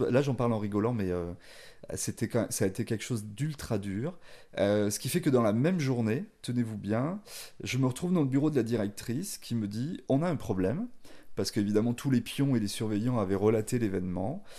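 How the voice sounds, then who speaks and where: A man with a dark, mellow voice at medium pitch speaks at a moderate pace with lively intonation and long, frequent pauses. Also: quiet background. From France, of Spanish parents. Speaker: chef. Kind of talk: casual interview.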